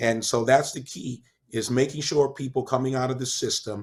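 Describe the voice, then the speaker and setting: Using an ordinary speaking voice, a man speaks at medium pitch and a moderate pace with fairly even intonation. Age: 50s. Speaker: chef and author, former prisoner. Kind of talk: interview.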